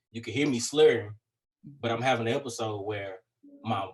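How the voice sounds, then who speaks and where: Here is a man with an American accent and a medium pitch, somewhat breathy. He talks at a fairly quick pace with ordinary pitch variation. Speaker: rapper. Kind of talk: casual chat. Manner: repetitive stammering restarts.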